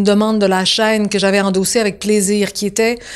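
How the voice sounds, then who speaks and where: A woman speaks at a medium pitch with a Quebec accent. The recording is very clean, with a silent background. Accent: Quebec French, deliberately kept. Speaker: TV showrunner and screenwriter. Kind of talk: interview. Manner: conversational, animated.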